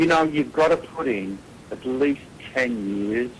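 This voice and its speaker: A man keeps a moderate pace and ordinary pitch variation while noticeable background noise goes on. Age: 60s. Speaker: heavy metal singer. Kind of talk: interview answer.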